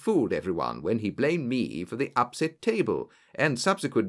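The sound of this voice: This is an unforced reading voice. It is used for reading aloud.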